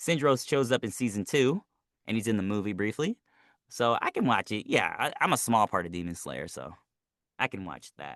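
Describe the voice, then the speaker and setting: The speaker uses vocal fry and lively intonation at a moderate pace, with big swings in loudness, in a dry, close recording with no echo and a quiet background. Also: man, medium pitch for a man. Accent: American. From United States. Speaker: voice actor. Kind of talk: interview.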